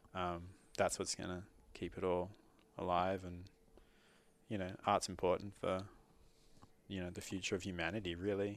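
A man with an Australian accent speaks in a very deep, low voice with monotone, flat intonation. He takes long, frequent pauses against a quiet background. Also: moderate pace. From Australia, Sydney. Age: 30s. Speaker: muralist. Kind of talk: interview. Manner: halting.

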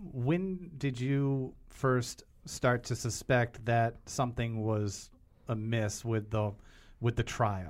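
A man with an ordinary speaking voice talks at a medium pitch with ordinary pitch variation in a very clean recording over a silent background. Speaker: podcast co-host. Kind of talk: interview.

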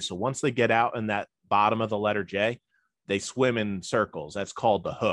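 Fairly quick delivery in a New Jersey accent, with fairly even intonation. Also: man. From New Jersey (Elizabeth). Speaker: boat pilot. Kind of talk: interview.

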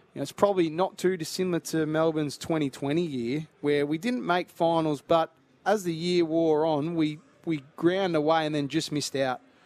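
A man speaks in an Australian accent. His voice is fairly high, with fairly even intonation. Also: moderate pace. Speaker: former footballer and pundit. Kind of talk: live commentary.

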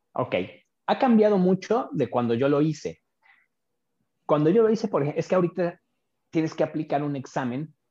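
A man's fairly high voice, dark and mellow in tone, with lively intonation at a moderate pace. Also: long, frequent pauses. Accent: Mexico City. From Mexico City. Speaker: oral and maxillofacial surgeon. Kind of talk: interview.

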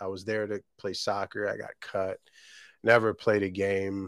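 Recorded dry and close with no echo against a silent background, a speaker with an American accent talks at a fairly slow pace. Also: man. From Virginia, US. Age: 30s. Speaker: small business owner. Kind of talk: casual interview. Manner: halting.

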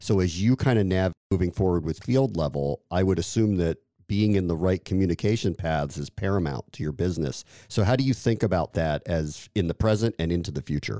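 Very deep and low in pitch, a man with a dark, mellow tone talks at a fairly quick pace with ordinary pitch variation, the sound dry and close with no echo and the recording very clean against a silent background. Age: 40s. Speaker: podcast host. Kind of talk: interview.

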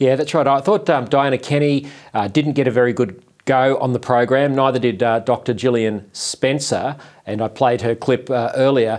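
A man with an Australian accent speaks at a medium pitch and a moderate pace, with ordinary pitch variation and very even loudness, on a very clean recording with a silent background. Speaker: online TV show host. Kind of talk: talk show interview.

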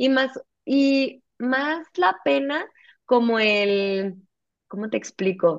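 This woman's intonation is lively. She talks at a high pitch. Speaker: nutritionist. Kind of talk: interview conversation.

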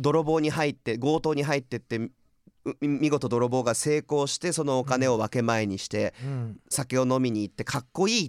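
A plain, everyday voice moves at a moderate pace with ordinary pitch variation. The very clean recording has a silent background and a dry, close sound with no echo. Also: man, medium pitch for a man. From California. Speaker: podcast host presenting music artists. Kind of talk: casual chat.

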